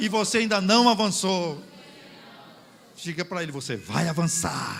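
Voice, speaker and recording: A man sounds animated, with lively intonation, at a fairly slow pace. Noticeable background noise runs behind him. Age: 60s. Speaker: pastor. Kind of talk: sermon.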